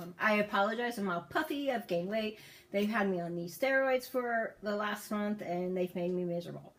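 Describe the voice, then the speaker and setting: Noticeable background noise behind a woman speaking at medium pitch. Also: ordinary pitch variation. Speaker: vlogger and cancer survivor. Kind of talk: personal testimony vlog. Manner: fast.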